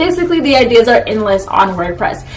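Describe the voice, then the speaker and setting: A woman's voice with very wide pitch swings, audible room echo and noticeable background noise. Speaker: anime YouTuber. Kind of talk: casual vlog talk. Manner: fast.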